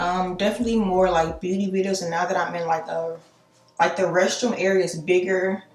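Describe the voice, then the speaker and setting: A woman speaks at a moderate pace. Noticeable background noise runs throughout. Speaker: beauty vlogger. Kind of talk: casual vlog talk. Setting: home bathroom. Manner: hesitant, many fillers.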